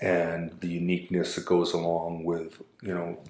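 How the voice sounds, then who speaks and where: A man talks while audible room echo hangs on the sound. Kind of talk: interview answer. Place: meeting room. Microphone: camera far.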